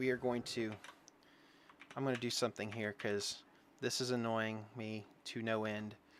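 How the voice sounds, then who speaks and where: Here a man talks with a Southern US accent. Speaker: game streamer. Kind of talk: casual chat. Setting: home, live stream. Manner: casual, halting with fillers.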